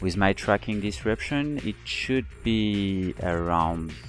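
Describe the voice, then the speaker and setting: With music in the background, a man with a non-native accent speaks very slowly at a fairly low pitch, his pitch swinging very widely. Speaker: video game player. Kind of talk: gameplay commentary.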